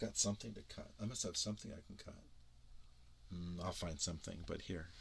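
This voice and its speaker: A man's voice carries a bright, sharp tone. He talks at a fairly quick pace. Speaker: YouTuber demonstrating DIY microphone. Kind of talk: casual demo video. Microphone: binaural microphone rig, very close to ear.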